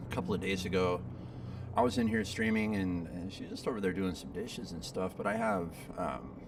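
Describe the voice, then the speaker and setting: Amid audible room echo, a man with an American accent speaks at a fairly quick pace in a very deep, low pitch. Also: ordinary pitch variation. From Southern California. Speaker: video game streamer. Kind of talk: casual live stream chat. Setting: home studio. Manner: casual, hesitant with fillers and repeats. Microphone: back on main mic after days on laptop mic.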